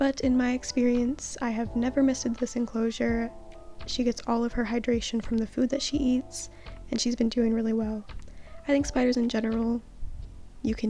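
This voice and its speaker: Over music in the background, a woman speaks quietly and shakily at a fairly quick pace. Her fairly high pitch holds a monotone, flat intonation. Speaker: pet spider keeper. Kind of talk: casual talk to camera. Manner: quiet, shaky.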